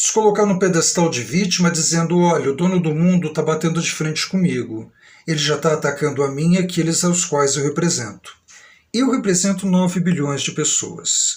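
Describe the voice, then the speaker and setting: His pitch is high, and this man speaks with ordinary pitch variation. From Brazil, São Paulo state. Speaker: vlogger. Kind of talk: live stream monologue. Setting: live stream.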